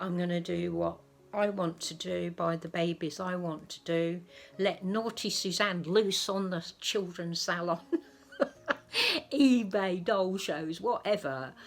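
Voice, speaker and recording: A woman talks at a fairly slow pace with an English accent. Her pitch is fairly low and varies in an ordinary way. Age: 70s. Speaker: doll collector vlogger. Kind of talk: casual vlog talk. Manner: soft-spoken.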